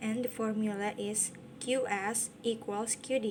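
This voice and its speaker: The speaker has a non-native accent and talks at a very slow pace. Noticeable background noise runs underneath. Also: woman. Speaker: university student. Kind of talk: tutorial. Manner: halting.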